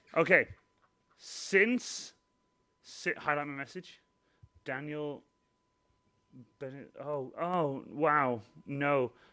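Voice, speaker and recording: Bright and sharp in tone, a man speaks at a fairly high pitch with ordinary pitch variation. His pace is very slow, with long, frequent pauses. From Wales. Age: 20s. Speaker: cosplayer and live streamer. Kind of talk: casual live stream chat. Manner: rambling, repetitive, stumbling.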